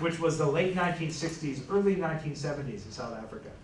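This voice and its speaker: Over noticeable background noise and audible room echo, a man with an American accent talks in a high voice with ordinary pitch variation. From United States. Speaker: history professor. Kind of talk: panel talk. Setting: panel discussion with live audience, no microphone. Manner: hesitant fillers (um).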